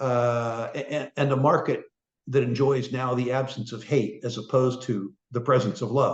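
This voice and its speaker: Somewhat breathy, a man at medium pitch talks at a moderate pace with monotone, flat intonation. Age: 70s. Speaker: resource investor. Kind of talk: interview. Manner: halting, many fillers.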